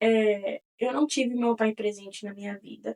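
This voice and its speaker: A woman with a plain, everyday voice, fairly slow and fairly even in intonation, in a dry, close recording with no echo. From Connecticut, US (Brazilian family). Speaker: podcast host. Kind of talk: casual monologue. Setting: studio.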